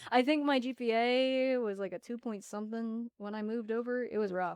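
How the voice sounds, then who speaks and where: A woman with an unremarkable speaking voice and an American accent, fairly high in pitch, fairly even in intonation and fairly quick in pace. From Arizona, Tempe/Phoenix area. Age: 20s. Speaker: former student telling her life story. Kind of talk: podcast interview.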